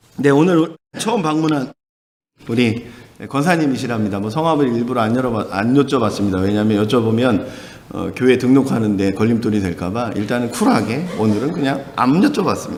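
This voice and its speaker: Audible room echo around a man's fairly quick speech. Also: medium pitch for a man, lively intonation. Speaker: pastor. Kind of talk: sermon. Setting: church. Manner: animated.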